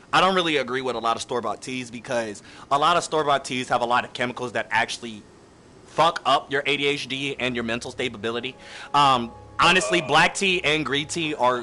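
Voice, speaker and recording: Music plays in the background while a man speaks with ordinary pitch variation. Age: 20s. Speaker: streamer. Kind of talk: casual chat. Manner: halting.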